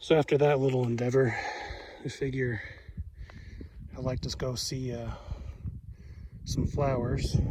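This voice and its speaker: Against noticeable background noise and audible room echo, a man talks at a fairly slow pace with long, frequent pauses, his medium-pitched voice monotone and flat. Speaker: long-distance hiker vlogger. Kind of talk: casual vlog narration. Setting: outdoors on a trail.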